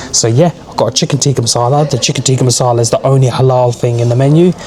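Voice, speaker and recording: Through noticeable background noise, a man rattles along at a very fast pace with a medium pitch and fairly even intonation. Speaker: travel vlogger. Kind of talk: travel vlog. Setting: airport lounge.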